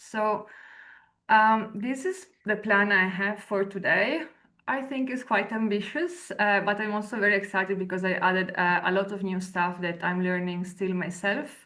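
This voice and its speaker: A woman speaks with an Italian accent. Her pitch is medium. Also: ordinary pitch variation, moderate pace. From Italy. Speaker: researcher and lecturer. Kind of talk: webinar presentation. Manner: hesitant, many fillers.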